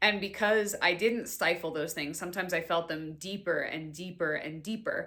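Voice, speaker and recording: With an American accent, a woman speaks at a moderate pace, her pitch fairly low. Her tone is animated, bright and sharp, with hardly any pauses. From New York City (Staten Island). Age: 20s. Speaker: podcast host and wellness coach. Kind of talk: casual personal monologue.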